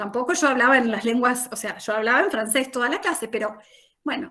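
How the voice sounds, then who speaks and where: Using ordinary pitch variation, a woman speaks in a high register. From Argentina, Chaco province. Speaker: language teacher, academic. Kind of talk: panel talk, presentation. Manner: conversational, many fillers.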